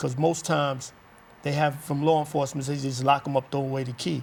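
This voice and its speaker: Somewhat breathy, a man speaks at a fairly quick pace with monotone, flat intonation. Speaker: formerly incarcerated community organizer. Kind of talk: interview, personal testimony. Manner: casual, conversational.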